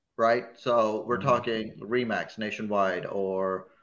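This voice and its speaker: A man speaks at a fairly slow pace, with a medium pitch. He has an ordinary speaking voice. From a hot country abroad, moved to Chicago as a child. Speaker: comedian. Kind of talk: casual chat.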